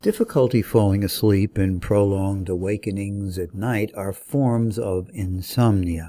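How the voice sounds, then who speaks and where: Speaking at a fairly slow pace, a man has a fairly low pitch and a dark, mellow tone, on a very clean recording with a silent background. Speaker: podcast publisher. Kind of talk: formal news-style reading of research summaries, scripted and clinical. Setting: studio.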